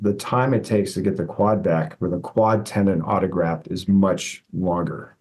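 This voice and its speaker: A man speaks at a moderate pace. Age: 60s. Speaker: physical therapist and professor. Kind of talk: casual interview. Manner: halting, many fillers.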